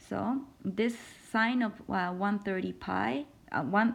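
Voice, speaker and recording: Her voice is somewhat breathy, a woman with a medium pitch and ordinary pitch variation. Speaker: math instructor. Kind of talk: lecture.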